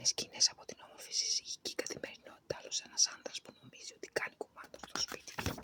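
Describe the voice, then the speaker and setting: Whispering at a fairly quick pace with hardly any pauses, a woman swings widely in loudness, her sound dry and close with no echo over noticeable background noise. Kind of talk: ASMR page-turning book reading. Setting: outdoors in a yard by the sea with natural background sounds. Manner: soft-spoken, relaxing.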